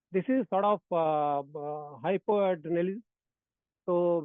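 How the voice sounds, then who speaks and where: This man speaks in a high voice with ordinary pitch variation. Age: 60s. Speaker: yoga teacher. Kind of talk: testimony. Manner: code-switching Hindi and English, hesitant with fillers.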